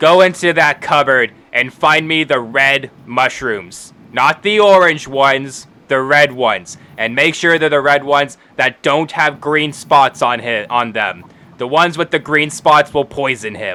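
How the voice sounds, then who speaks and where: A man's raspy, fairly high put-on character voice at a moderate pace. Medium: actual play. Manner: gruff, curt, bossy.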